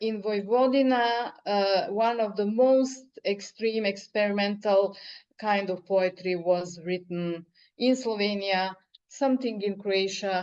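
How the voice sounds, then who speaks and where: A woman with a Serbian accent, speaking at a very slow pace. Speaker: poet. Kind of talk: interview. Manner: halting.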